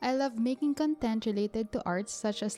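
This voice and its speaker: This woman has a plain, everyday voice, pitched fairly high with ordinary variation, and she talks at a moderate speed. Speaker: bullet journal artist and workshop guest. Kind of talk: workshop tutorial narration.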